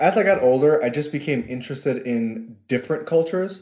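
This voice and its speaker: On a very clean recording with a silent background, a man with a New York accent speaks in a dark, mellow tone. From New York (Queens). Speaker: podcast guest, son of Guyanese immigrants. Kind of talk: casual interview chat.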